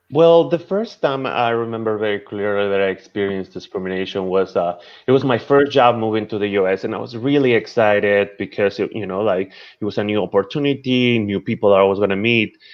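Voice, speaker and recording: Fairly quick in pace, a man talks with a fairly low pitch. His pitch variation is ordinary. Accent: Spanish. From Peru. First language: Spanish. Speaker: chef and social media creator. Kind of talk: interview. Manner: halting, many repetitions.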